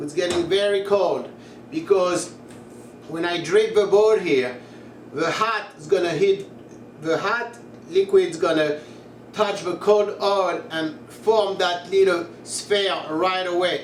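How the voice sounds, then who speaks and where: A high-pitched man with a slight French accent speaks at a very slow pace, with long, frequent pauses and ordinary pitch variation. There is audible room echo and noticeable background noise. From France, Paris. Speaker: cooking tutorial creator. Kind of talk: tutorial. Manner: casual, chatty.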